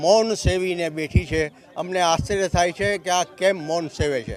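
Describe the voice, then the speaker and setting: With fairly even intonation, a man speaks at a high pitch over noticeable background noise. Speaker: retired state transport employee. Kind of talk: protest interview statement.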